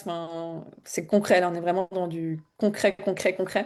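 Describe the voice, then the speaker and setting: Fairly even intonation carries a woman's dark, mellow tone. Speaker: spiritual coach. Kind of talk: live stream promotional talk. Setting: live stream on social media. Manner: hesitant, many fillers.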